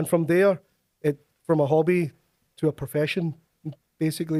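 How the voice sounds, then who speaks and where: A man with a Glaswegian accent speaks at a fairly quick pace, his fairly high pitch held in a fairly even intonation. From Scotland, Glasgow. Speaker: tabla player and music lecturer. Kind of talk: interview. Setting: studio.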